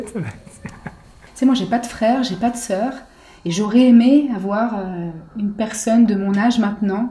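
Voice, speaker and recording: A woman talks at a fairly slow pace in a fairly high pitch. Her intonation stays fairly even. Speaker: jazz singer. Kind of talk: interview answer.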